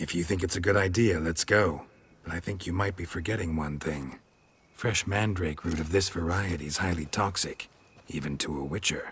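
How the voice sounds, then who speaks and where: At a moderate pace, a man uses a put-on character voice with a very deep, low pitch. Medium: video game. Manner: terse, dry.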